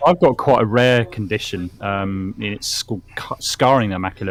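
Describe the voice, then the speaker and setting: Music in the background behind a man's fairly low voice with ordinary pitch variation. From UK (army family, partly raised in Germany). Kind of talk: casual chat.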